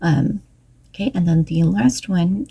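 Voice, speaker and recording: A woman's fairly low, dark and mellow voice, somewhat breathy, with lively intonation and a fairly slow pace. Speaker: knitting podcaster and author. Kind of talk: casual chat. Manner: frequent ums, casual.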